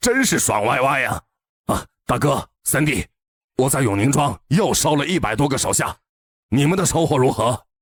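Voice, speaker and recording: A man's cartoonish character voice, raspy and pitched fairly high. He talks at a moderate pace, with a dry, close sound and no echo. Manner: laughing, swaggering.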